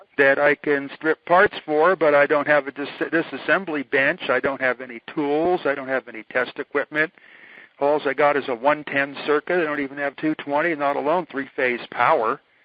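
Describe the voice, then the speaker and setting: A man's unremarkable speaking voice, fairly high in pitch, at a moderate pace with fairly even intonation. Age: 60s. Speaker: electrical researcher. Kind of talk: casual chat. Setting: phone call.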